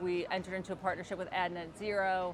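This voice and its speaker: Speaking with a New Jersey accent, a woman talks at a fairly quick pace and medium pitch. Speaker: agency executive interviewer. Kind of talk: interview. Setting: conference booth.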